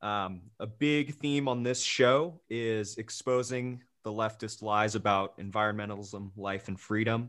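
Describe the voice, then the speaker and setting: On a very clean recording with a silent background, a man with a normal speaking voice, fairly low in pitch with ordinary pitch variation, speaks at a fairly slow pace with hardly any pauses. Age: young. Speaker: podcast host. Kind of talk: interview.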